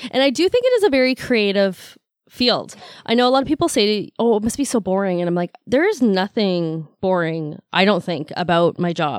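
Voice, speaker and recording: An unremarkable speaking voice in a Canadian accent, lively intonation, moderate pace, dry and close with no echo, on a very clean recording with a silent background. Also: woman, medium pitch for a woman. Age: 40s. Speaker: massage therapist. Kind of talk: casual chat. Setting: studio.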